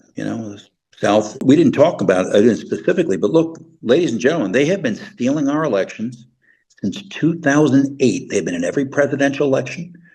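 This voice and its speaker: A man with an American accent, fairly high pitch, very wide pitch swings, vocal fry, and a fairly quick pace. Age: 60s. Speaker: retired intelligence officer. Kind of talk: interview. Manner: halting.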